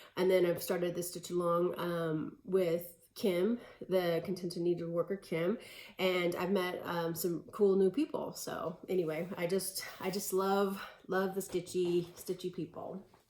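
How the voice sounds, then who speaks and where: A woman speaks at a fairly low pitch and a fairly slow pace. Her intonation is flat and monotone, with noticeable background noise. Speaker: cross-stitch video creator. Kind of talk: casual hobby update vlog. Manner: hesitant, many fillers.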